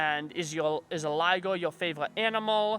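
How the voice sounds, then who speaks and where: On a very clean recording with a silent background, a man with an American accent speaks at a high pitch in a bright, sharp tone with ordinary pitch variation. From southeastern North Carolina. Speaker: YouTube creator. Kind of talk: Q&A video.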